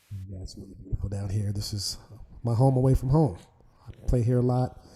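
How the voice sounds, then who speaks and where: Soft-spoken and at a medium pitch, a man talks at a fairly quick pace with ordinary pitch variation and big swings in loudness. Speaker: saxophonist. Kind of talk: interview. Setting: video call from an art gallery. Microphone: too quiet.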